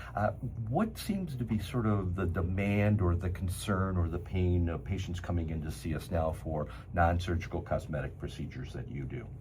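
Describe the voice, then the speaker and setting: A man with a very deep, low pitch speaks at a moderate pace, with ordinary pitch variation and audible room echo. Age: 70s. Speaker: cosmetic surgeon and show host. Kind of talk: interview conversation.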